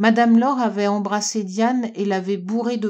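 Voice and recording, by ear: Someone is reading aloud in a natural voice, the intonation fairly even.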